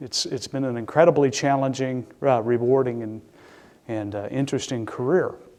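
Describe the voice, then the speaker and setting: The speaker has a Midwestern US accent. The pace is moderate and the intonation fairly even. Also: man. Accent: US Midwest. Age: 60s. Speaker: public safety director. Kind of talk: lecture. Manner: halting.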